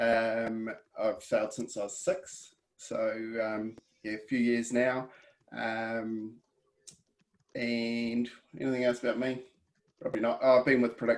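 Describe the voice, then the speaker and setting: A man with a New Zealand accent talks at a fairly slow pace and medium pitch, using fairly even intonation and long, frequent pauses. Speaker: weather app company presenter, sailor. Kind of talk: webinar presentation. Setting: video call.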